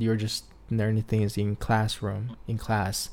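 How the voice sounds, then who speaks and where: A man speaks very slowly with a Chinese accent, his fairly low voice held in a monotone with flat intonation. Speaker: podcast host. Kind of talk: casual chat.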